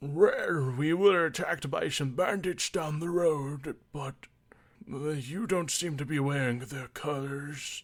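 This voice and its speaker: Using a put-on character voice, a man talks at a fairly slow pace with a fairly high pitch and ordinary pitch variation. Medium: actual play.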